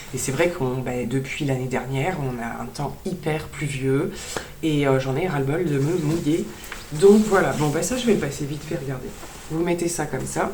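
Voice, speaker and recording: A woman with a very deep, low voice talks at a moderate pace with ordinary pitch movement. The room echo is audible, and background noise is noticeable. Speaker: beauty and fashion vlogger. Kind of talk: haul video chat. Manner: hesitant with many fillers.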